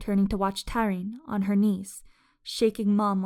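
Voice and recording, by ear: Natural-voiced reading aloud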